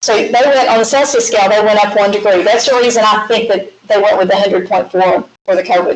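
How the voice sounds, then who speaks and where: Speaking with a slight Southern accent, a woman keeps a fairly high pitch, fairly even intonation, and very even loudness. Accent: slight southern drawl. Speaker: math teacher. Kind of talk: lecture.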